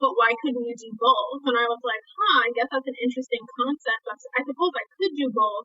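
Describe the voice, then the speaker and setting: A woman with an American accent speaks at a high pitch. She goes at a fairly quick pace with ordinary pitch variation. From Brooklyn, New York. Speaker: fitness instructor and content creator. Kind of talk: podcast interview.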